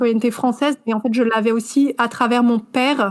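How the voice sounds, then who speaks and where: A woman speaks at a fairly high pitch and moderate pace. Her intonation is monotone and flat. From southern France. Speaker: author and editor. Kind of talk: interview.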